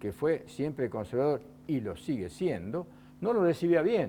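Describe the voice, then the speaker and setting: A fairly high male voice at a moderate pace, dark and mellow, with very wide pitch swings. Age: 70s. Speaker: former student leader and author. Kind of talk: TV interview.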